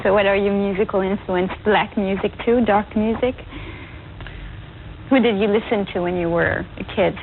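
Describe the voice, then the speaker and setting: With a French accent, a woman speaks in a monotone, flat intonation with long, frequent pauses against noticeable background noise. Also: medium pitch for a woman, moderate pace. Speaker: TV interviewer. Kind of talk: interview.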